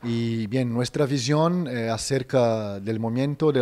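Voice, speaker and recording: A man talks with a Brazilian accent. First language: Portuguese (speaking Spanish). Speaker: media activist; interviewee. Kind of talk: interview statement. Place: hall. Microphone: handheld.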